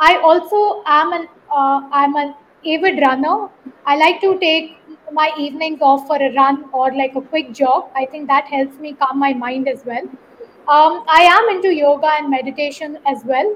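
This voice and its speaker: Noticeable background noise behind a high-pitched woman, moderate pace and ordinary pitch variation. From South India. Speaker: marketing agency founder. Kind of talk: interview.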